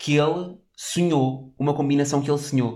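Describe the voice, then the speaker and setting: An animated man with a fairly high voice, at a moderate pace with ordinary pitch variation. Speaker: podcast co-host. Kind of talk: casual chat.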